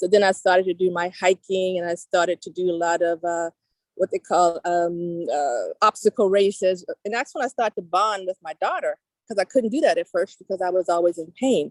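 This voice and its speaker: In an ordinary speaking voice, a woman talks at medium pitch and a fairly quick pace with ordinary pitch variation, the sound dry and close with no echo. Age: 60s. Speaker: personal trainer and knee pain specialist. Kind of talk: interview. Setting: outdoors.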